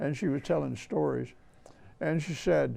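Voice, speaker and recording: The speaker is a man with an Alabama accent. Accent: Southern US (Alabama). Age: 80s+. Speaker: historian and author. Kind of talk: interview storytelling.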